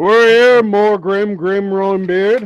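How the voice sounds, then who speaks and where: This man puts on a character voice, pitched high and delivered loud. His pace is fairly slow. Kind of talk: grand, declaring. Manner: loud, theatrical.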